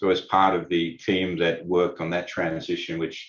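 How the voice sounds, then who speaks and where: A man's very deep, low voice in an Australian accent, at a moderate pace over a quiet background. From Australia, Sydney. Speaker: lawyer. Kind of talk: webinar presentation. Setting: online webinar. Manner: halting, many fillers.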